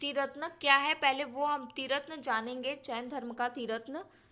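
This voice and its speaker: The voice is raised and projected, with a bright, sharp tone. The recording is very clean, and the background is silent. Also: woman. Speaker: exam-prep teacher. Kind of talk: lecture. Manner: slow.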